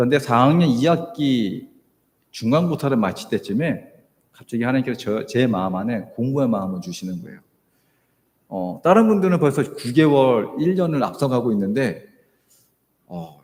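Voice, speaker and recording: With audible room echo, a man speaks with very wide pitch swings, big swings in loudness, and long, frequent pauses. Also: medium pitch for a man, moderate pace. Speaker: missionary. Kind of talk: sermon. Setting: church. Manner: hesitant, many fillers.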